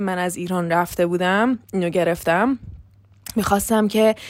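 Her pitch rises and falls in a normal way. The woman's voice sits at a medium pitch. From Iran. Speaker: podcaster. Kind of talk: casual monologue. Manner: fast.

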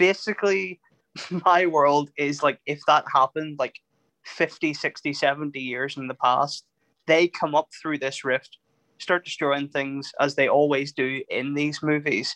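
Here a man with an Irish accent speaks at a fairly slow pace in a bright, sharp tone, his fairly high voice keeping fairly even intonation in a dry, close sound with no echo. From Ireland. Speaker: film podcast co-host. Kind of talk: casual chat.

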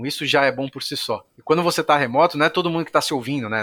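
A man's fairly high-pitched voice with ordinary pitch variation, in a dry, close recording free of echo. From São Paulo, Brazil. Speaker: tech company executive. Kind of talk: interview. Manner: casual, filler-heavy.

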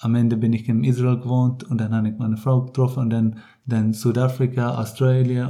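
Flat and monotone, the man's voice has a dark, mellow tone. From Ireland and the Netherlands. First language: English (speaking German). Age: 30s. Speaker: triathlete and coach. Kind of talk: interview. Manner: halting.

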